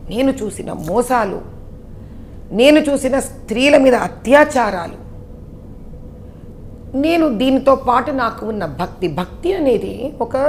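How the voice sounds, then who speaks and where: A woman with a high voice talks in a lively, up-and-down way while noticeable noise fills the background. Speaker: politician. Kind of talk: interview answer.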